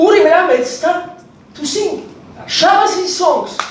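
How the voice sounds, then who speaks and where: Audible room echo and noticeable background noise fill the recording. Through them, a man talks. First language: Hebrew. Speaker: historian. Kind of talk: conference talk.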